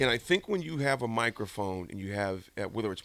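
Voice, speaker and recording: In a very clean recording with a silent background, a man with an American accent and a normal speaking voice talks at a fairly quick pace with a fairly low pitch. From US South, Mississippi. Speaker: radio host. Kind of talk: casual chat.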